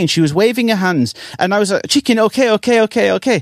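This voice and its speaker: A man with an English accent, high-pitched for a man, talking at a very fast pace with lively intonation, the sound dry and close with no echo. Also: very clean recording, silent background. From England. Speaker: English teacher and trot singer. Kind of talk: casual interview.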